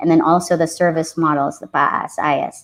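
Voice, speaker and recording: This woman speaks at a moderate pace in a fairly low pitch, with an unremarkable speaking voice. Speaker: software engineer and tech community leader presenting. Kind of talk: technical presentation.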